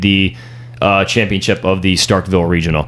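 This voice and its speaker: Fairly quickly, a man speaks in a plain, everyday voice. His intonation stays fairly even. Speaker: podcast host. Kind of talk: casual chat.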